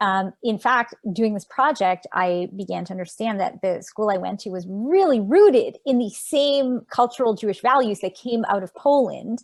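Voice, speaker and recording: A woman with a Montreal accent at a moderate pace, hardly any pauses, over a quiet background. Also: fairly high pitch for a woman, lively intonation. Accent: Canadian English, Montreal. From Canada, Montreal. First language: Yiddish. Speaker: author. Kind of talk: interview. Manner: halting.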